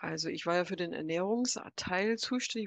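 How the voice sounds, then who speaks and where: A woman talks at a moderate pace in an ordinary speaking voice, with medium pitch and ordinary pitch variation. The sound is dry and close with no echo, against a quiet background. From USA. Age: 60s. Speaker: psychologist and business coach. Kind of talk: casual chat.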